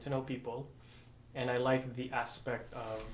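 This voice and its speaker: A man speaks with a Filipino American accent at a fairly slow pace. The room echo is audible. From Philippines, Negros Occidental (moved to US at 14-15). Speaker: physical therapist. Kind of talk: interview.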